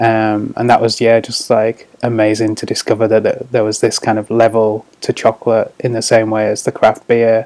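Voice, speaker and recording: Monotone, flat delivery from a man at medium pitch, in a northern English accent, moderate pace with hardly any pauses. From northeast England. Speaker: chocolate shop founder. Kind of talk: casual interview.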